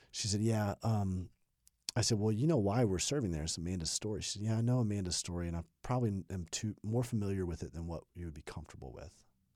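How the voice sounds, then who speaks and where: Talking at a very fast pace, a man uses a fairly low, dark, mellow voice with ordinary pitch variation on a very clean recording with a silent background. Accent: American. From US South, Birmingham, Alabama. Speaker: pastor. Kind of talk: interview. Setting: studio.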